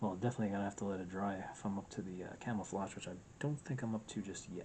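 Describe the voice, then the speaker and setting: A soft-spoken man talks very fast in a fairly low voice. His intonation stays fairly even. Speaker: hobby miniature painter. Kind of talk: casual tutorial narration.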